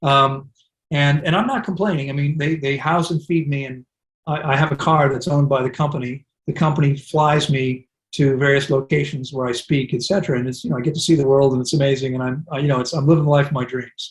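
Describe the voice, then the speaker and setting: With an American accent, a man talks very fast at a fairly high pitch, somewhat breathy and with fairly even intonation. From US. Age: 60s. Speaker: wellness center director. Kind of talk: interview.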